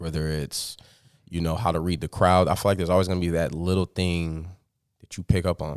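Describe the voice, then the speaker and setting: Very deep and low in pitch, a man speaks at a fairly quick pace with monotone, flat intonation on a very clean recording with a silent background. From US Midwest, Sioux Falls, South Dakota. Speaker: DJ. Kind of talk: casual interview.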